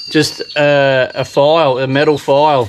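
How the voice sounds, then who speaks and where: Over light background noise, a man talks in a monotone, flat intonation. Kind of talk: tutorial. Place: garden. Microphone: phone near.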